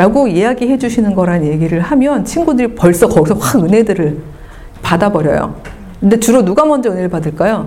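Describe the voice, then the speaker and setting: Over noticeable background noise, a woman at medium pitch speaks at a fairly quick pace, her tone animated and her intonation lively. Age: 50s. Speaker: lecturer. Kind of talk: lecture. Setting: stage with audience.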